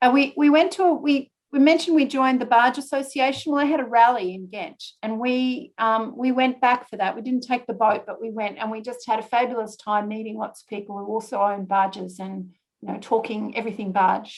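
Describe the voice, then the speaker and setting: In an Australian accent, a woman with a fairly high pitch talks at a fairly quick pace, with ordinary pitch variation and big swings in loudness. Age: 60s. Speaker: retired barge owner presenting a talk. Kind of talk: slide presentation talk. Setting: video call.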